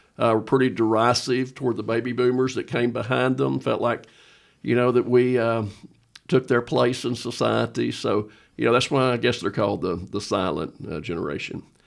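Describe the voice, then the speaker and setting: The recording is very clean, with a silent background. A man at medium pitch speaks at a moderate pace with vocal fry and ordinary pitch variation. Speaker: pastor. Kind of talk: casual chat.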